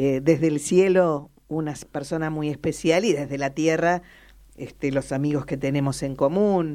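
A woman speaks fairly slowly in a very deep, low voice with a dark, mellow tone on a very clean recording with a silent background. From Argentina, La Pampa. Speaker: radio host. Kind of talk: radio interview.

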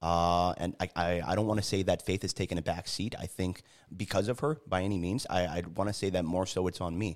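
A man with a very deep, low pitch speaks in an American accent. His intonation is fairly even and his pace fairly quick. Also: very clean recording, silent background. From Connecticut, US. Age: 20s. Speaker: Marine veteran. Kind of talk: casual chat. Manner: halting.

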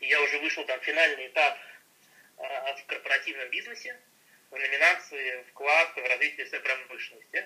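Noticeable background noise runs under speech at a moderate pace. The loudness swings widely, with long, frequent pauses. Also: man. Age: 20s. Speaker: entrepreneur, founder of an eco-packaging startup. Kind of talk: interview. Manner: hesitant, many fillers.

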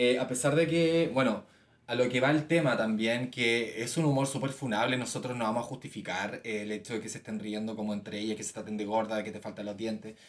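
Over noticeable background noise, a man with a Chilean accent talks fairly quickly at a medium pitch with ordinary pitch variation. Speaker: podcast co-host. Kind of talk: casual chat.

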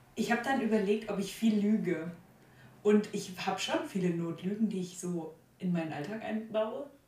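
A woman's medium-pitched voice at a moderate pace with ordinary pitch variation, noticeable background noise and audible room echo. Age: 20s. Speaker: art student. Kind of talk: casual chat.

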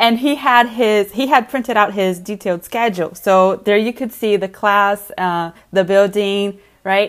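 A woman speaks in a normal speaking voice at a medium pitch, fairly slowly, with ordinary pitch variation and hardly any pauses.

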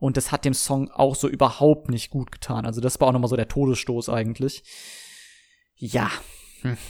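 A man's fairly quick delivery comes through on a very clean recording with a silent background. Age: 20s. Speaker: podcaster. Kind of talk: casual solo monologue. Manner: hesitant, many filler sounds.

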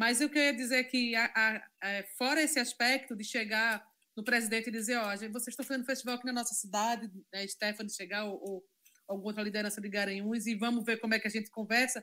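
Talking at a very fast pace, a woman has a fairly high pitch and a bright, sharp tone. Her intonation stays fairly even. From Zona da Mata Norte, Pernambuco, Brazil (Carpina). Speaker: cultural and music producer. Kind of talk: casual chat.

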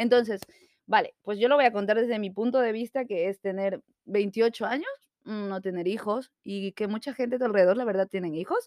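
A woman talks with a fairly high pitch and ordinary pitch variation. The sound is dry and close, with no echo. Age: 20s. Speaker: podcast co-host. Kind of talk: casual chat. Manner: fast.

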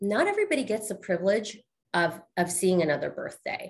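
Very wide pitch swings at a moderate pace. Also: woman. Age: 40s. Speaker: podcast host. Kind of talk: casual interview.

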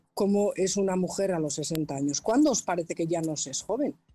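A woman's fairly low voice with a dark, mellow tone at a moderate pace. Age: 50s. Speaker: painter, audience participant. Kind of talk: casual chat.

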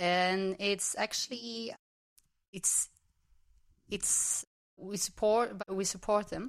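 A woman's medium-pitched voice moves at a very slow pace in a flat monotone, with long, frequent pauses. The sound is dry and close, with no echo. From Belgium. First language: Dutch. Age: 30s. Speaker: club member and former club president. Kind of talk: casual interview chat. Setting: home kitchen studio.

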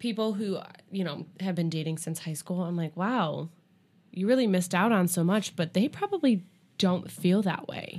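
Here is a woman with an unremarkable speaking voice at a medium pitch. She moves at a moderate pace with ordinary pitch variation. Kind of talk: casual chat. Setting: studio.

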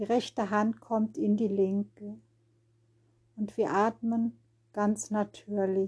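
A woman speaks very slowly in a medium pitch, somewhat breathy, with fairly even intonation and a calm, soothing, dark and mellow tone. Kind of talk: guided meditation. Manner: slow, calm, soothing, with long pauses; gentle, repetitive, rhythmic, noting words repeated in threes.

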